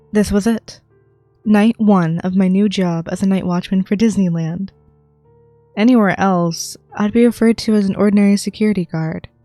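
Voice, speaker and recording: Music plays behind a woman speaking at a moderate pace and medium pitch. Her intonation is fairly even, and the sound is dry and close with no echo. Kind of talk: ASMR creepypasta reading, first-person horror narration.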